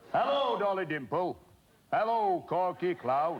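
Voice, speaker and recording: Put-on character voice from a man, pitched high and delivered fairly slowly. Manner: cartoonish.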